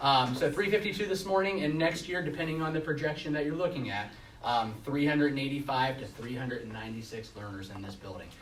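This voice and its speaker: A man with fairly high pitch and lively intonation, very fast pace with hardly any pauses, big swings in loudness, audible room echo and noticeable background noise. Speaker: school administrator. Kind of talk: presentation at board meeting. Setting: public meeting with audience. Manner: hesitant with many fillers.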